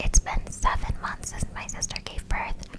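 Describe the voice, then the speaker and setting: A woman whispers at a moderate pace against noticeable background noise. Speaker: office worker. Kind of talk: ASMR rambling talk to camera. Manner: whispered, close cupped.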